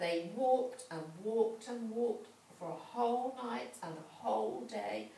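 The voice reads aloud in a natural way. Its intonation is lively.

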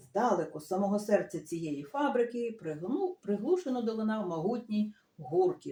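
Intonation stays lively across this unforced reading voice.

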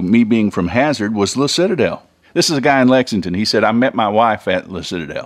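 The intonation is lively. A man talks very fast. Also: quiet background. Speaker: radio show host. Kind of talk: radio talk show chat. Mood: warm, nostalgic, upbeat. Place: studio. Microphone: studio mic.

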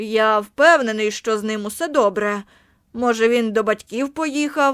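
A woman's put-on character voice at a fairly high pitch and moderate pace, in a very clean recording with a silent background. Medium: read story. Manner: casual, offhand.

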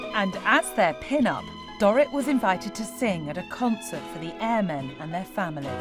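Medium-pitched female voice with very wide pitch swings, music in the background. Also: moderate pace. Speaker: TV presenter. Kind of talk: TV documentary narration.

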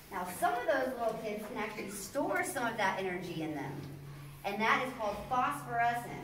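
A woman at a moderate pace, with audible room echo and light background noise. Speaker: mine tour guide. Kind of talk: tour guide explanation. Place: tunnel cave. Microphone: camera far.

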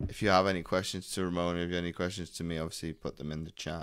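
A man with a very deep, low pitch speaks. The sound is dry, with no echo. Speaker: business coach hosting. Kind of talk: interview host intro. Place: home room. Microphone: studio mic.

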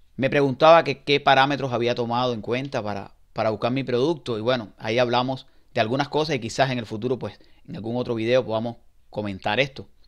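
Very fast speech with fairly even intonation over a quiet background. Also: man. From Cuba. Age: 40s. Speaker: online seller. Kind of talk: testimony; testimonial, casual first-person talk. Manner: halting. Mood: hopeful, encouraging. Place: home room. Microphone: headset.

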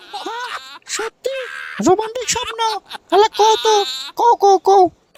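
A woman's cartoonish character voice at an extremely high pitch, moderate in pace, with big swings in loudness. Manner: scolding, sarcastic.

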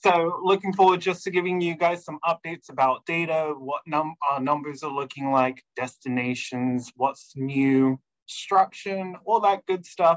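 The pace is moderate with hardly any pauses. Pitch varies in an ordinary way over a quiet background. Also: man. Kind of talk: webinar presentation. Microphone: video call.

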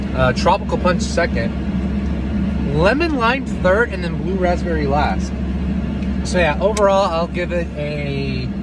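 Amid loud background noise, a man speaks at a very slow pace in a dry sound with no echo. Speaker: vlogger. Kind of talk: casual vlog chat, taste review. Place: car. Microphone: phone near.

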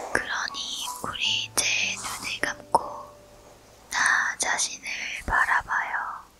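Whispered words come at a very slow pace, broken by long, frequent pauses, with music in the background. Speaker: ASMR meditation guide. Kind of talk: guided sleep meditation with affirmations. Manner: slow, soothing.

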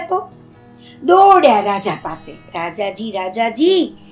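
Faint music plays behind a woman whose animated tone swings very widely in pitch. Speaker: storyteller; puppeteer. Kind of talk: children's story narration. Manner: expressive, animated. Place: home room.

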